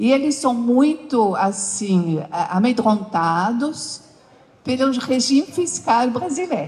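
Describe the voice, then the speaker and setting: A woman talks at a very slow pace, her high voice making very wide pitch swings. Her loudness stays very even. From France. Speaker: company founder and CEO; interview guest. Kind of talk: interview on stage with audience. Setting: stage with audience. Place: stage.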